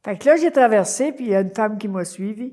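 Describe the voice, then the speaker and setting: This woman's voice sits at a medium pitch with a dark, mellow tone. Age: 80s+. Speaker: community activist. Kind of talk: oral history interview. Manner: hesitant, many fillers.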